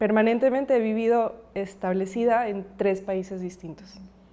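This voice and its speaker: A woman speaks with a fairly high pitch and fairly even intonation over noticeable background noise. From Colombia, raised from 9 in Ecuador. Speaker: podcast guest. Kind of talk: casual family conversation.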